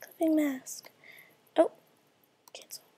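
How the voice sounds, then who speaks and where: A quiet woman with a dark, mellow tone. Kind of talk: casual screen-recorded software tutorial. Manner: quiet, hushed.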